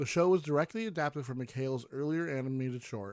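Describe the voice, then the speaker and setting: Using an unremarkable speaking voice, a man talks at a fairly quick pace with medium pitch and ordinary pitch variation in a very clean recording with a silent background. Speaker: podcast host. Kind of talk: podcast review narration.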